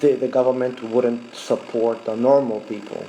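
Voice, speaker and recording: There is noticeable background noise as a man at a medium pitch speaks at a fairly slow pace. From Middle East, Arabic-speaking. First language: Arabic. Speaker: vlogger. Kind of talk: casual live talk. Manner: hesitant, many fillers.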